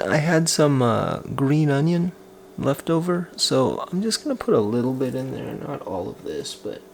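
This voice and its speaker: Soft-spoken man at a moderate pace over noticeable background noise. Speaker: cooking vlogger, stay-at-home dad. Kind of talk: cooking tutorial. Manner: soft-spoken, speaking quietly.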